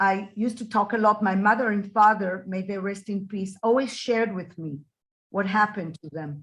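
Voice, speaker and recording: A woman speaks at medium pitch and a moderate pace, with ordinary pitch variation. Her voice is somewhat breathy, with big swings in loudness. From Israel. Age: 60s. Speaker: Holocaust survivors' daughter, interviewee. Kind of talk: interview.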